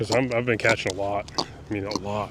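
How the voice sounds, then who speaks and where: A man with an American accent speaks at a moderate pace. Noticeable background noise runs behind him. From New York City, Brooklyn. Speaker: fishing YouTuber. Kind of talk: casual vlog commentary while fishing. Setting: outdoors on a kayak near a bridge.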